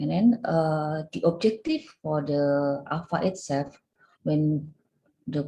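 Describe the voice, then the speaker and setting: A woman's very deep, low voice, dark and mellow and somewhat breathy, at a fairly slow pace with ordinary pitch variation. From Indonesia. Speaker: association secretary general. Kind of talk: presentation. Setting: video call. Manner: halting, many fillers.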